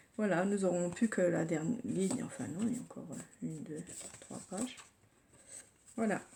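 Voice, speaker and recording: A soft-spoken woman talks. She keeps a fairly slow pace. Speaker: scrapbooking youtuber. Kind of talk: tutorial. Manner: hesitant, with fillers.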